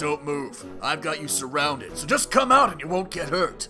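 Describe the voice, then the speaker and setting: A put-on character voice moves at a moderate pace with very wide pitch swings and big swings in loudness. Clear music plays in the background. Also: man, fairly high pitch for a man. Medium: machinima. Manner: terse, serious.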